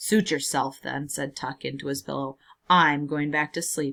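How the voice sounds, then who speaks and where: In a put-on character voice, a woman speaks at a moderate pace with a raspy, very deep, low pitch. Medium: read story. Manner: weary, gloomy.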